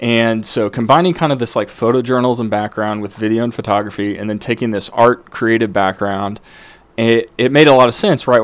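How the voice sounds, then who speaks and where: A man with a normal speaking voice talks at a fairly quick pace, medium in pitch with ordinary pitch variation. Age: 30s. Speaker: founder of a kids' product company. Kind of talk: interview.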